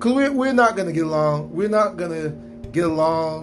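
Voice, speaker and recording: Noticeable background noise sits under a man speaking with an American accent. His fairly high voice swings very widely in pitch. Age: 50s. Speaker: podcaster, military veteran. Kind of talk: solo monologue commentary. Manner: casual, conversational.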